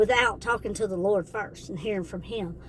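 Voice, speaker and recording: The speaker is a woman. Her voice has a medium pitch. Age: 50s. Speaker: faith vlogger. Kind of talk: devotional testimony. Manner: animated.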